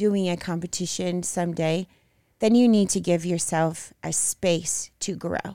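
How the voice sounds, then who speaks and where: Fairly even intonation carries speech at a very slow pace on a very clean recording with a silent background. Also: woman. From Brazil. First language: Portuguese. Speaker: bodybuilding figure competitor. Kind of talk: interview.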